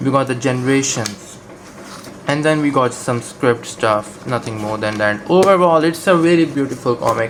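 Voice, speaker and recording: Against noticeable background noise, a man talks at a fairly quick pace and medium pitch. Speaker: comic book reviewer. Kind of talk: casual video review. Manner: hesitant, many fillers.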